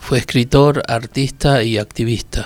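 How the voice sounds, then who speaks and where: A man with a plain, everyday voice, fairly slow and fairly even in intonation. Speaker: podcast reader. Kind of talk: poetry reading, intimate and literary. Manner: slow, contemplative, measured with pauses.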